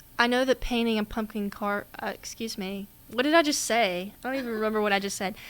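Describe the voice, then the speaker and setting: Talking very fast, a woman with a Southern US accent uses a fairly high pitch. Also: ordinary pitch variation. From US South, Mississippi. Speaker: podcast co-host, college student. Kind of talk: casual chat.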